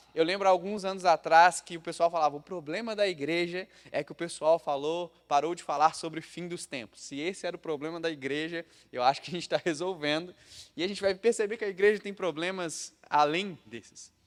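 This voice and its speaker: Big swings in loudness run through this fairly quick speech with ordinary pitch variation, recorded very cleanly against a silent background. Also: man, high pitch for a man. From Brazil, Minas Gerais (Juiz de Fora). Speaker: pastor. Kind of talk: sermon. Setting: church.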